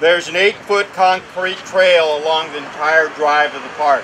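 With fairly even intonation, a man speaks at a moderate pace over noticeable background noise. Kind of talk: ceremony speech. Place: open country. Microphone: podium.

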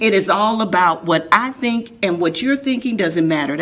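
Lively intonation and an animated tone mark this woman's fairly quick speech. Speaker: talk show host. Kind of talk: interview. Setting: studio. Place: studio.

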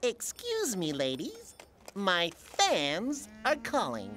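A cartoonish character voice, female-sounding, at medium pitch and a very slow pace. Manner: pompous, self-important.

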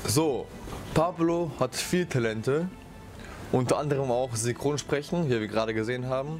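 Music plays behind a man speaking at a moderate pace and medium pitch with ordinary pitch variation. He leaves long, frequent pauses. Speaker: cooking show host. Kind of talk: casual talk to camera. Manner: upbeat, joking.

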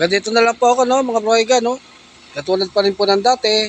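A man talks fairly quickly while noticeable background noise fills the recording. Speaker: vlogger. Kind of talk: casual vlog narration.

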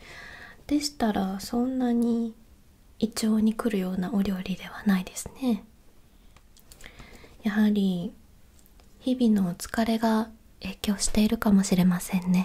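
Soft-spoken and very slow, a woman talks with fairly even intonation. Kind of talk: polite role-play customer service talk. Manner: soft, hushed ASMR roleplay voice.

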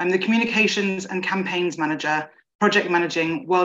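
This is a woman. She has an ordinary speaking voice with ordinary pitch variation. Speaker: awareness campaign manager. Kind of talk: presentation. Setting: video call. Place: home room. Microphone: video call.

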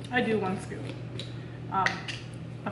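Background noise is noticeable here. Over it, a woman speaks at a fairly quick pace. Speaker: home vlogger. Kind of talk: casual tutorial vlog chat. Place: kitchen. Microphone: camera far.

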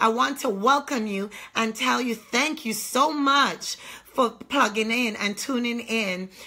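A high-pitched woman speaks at a fairly slow pace with a bright, sharp tone and ordinary pitch variation. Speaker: online ministry host. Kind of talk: sermon introduction and prayer. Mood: fervent, prayerful. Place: home room. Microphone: phone near.

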